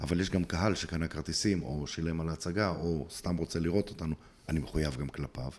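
Using fairly even intonation, a man with a very deep, low voice speaks at a fairly quick pace. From Israel, Bnei Brak. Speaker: playback theatre actor and group facilitator. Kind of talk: interview conversation.

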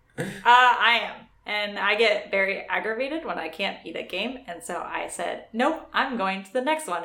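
A woman with a fairly high pitch talks at a moderate pace with hardly any pauses, lively intonation and big swings in loudness, against noticeable background noise. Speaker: podcast co-host. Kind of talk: casual chat.

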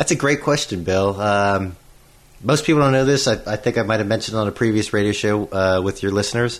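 A man with an American accent and a plain, everyday voice talks at a fairly low pitch and a fairly quick pace. His pitch variation is ordinary and his loudness very even. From Pittsburgh, Pennsylvania. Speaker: solar industry professional. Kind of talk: radio interview.

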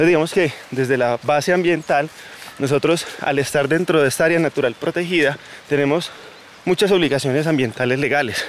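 Against noticeable background noise, a man with a fairly high voice speaks at a fairly quick pace, his loudness very even and his pitch variation ordinary. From Colombia, Santa Rosa de Cabal (Risaralda). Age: 20s. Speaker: environmental coordinator and tour guide. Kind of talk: guided tour explanation. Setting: outdoors, walking on a mountain trail.

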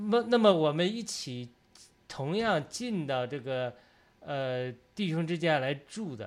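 The speaker is a man. He uses lively intonation. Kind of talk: religious group discussion and testimony. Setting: online video broadcast with remote participants.

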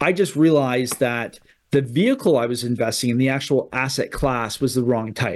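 Ordinary pitch variation and a moderate pace mark a normal speaking voice with a Canadian accent. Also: man, medium pitch for a man. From Canada. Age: 30s. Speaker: real estate investor. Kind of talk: interview.

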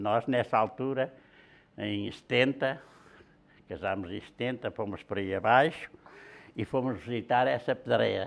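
The speaker goes at a fairly slow pace with ordinary pitch variation, vocal fry, and long, frequent pauses. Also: man, medium pitch for a man. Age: 80s+. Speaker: blacksmith, shears maker. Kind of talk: interview storytelling.

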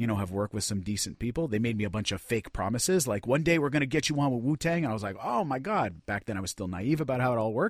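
Talking very fast with lively intonation, a man is heard in a dry, close sound with no echo. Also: very clean recording, silent background. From Montreal, Quebec. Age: 40s. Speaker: musician. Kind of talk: casual chat.

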